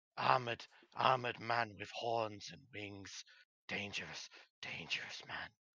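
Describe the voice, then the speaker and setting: This put-on character voice is raspy and moves at a moderate pace. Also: man, medium pitch for a man. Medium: actual play. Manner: broken grammar, repetitive, clipped; nervous, repetitive warnings.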